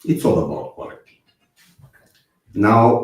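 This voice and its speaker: A man with a Romanian accent, a dark, mellow tone, and a somewhat breathy quality. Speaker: software testing speaker. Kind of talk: conference talk. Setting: online conference stream. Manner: hesitant with fillers.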